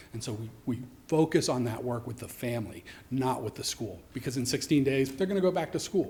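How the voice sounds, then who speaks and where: A man at a medium pitch, talking at a fairly quick pace with lively intonation, noticeable background noise behind him. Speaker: youth homeless shelter director. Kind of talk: public testimony at council meeting. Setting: council chambers. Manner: fast.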